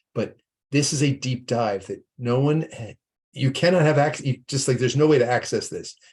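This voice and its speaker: A somewhat breathy man's voice, fairly high in pitch, with ordinary pitch variation. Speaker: nonprofit leader presenting investment research tool. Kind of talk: webinar presentation with screen demo. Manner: fast.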